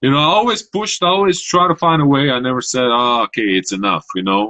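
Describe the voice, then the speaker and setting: Talking at a very fast pace with a Croatian accent, a man uses a fairly high pitch with very wide pitch swings. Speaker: Olympic shot putter. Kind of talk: interview. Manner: halting.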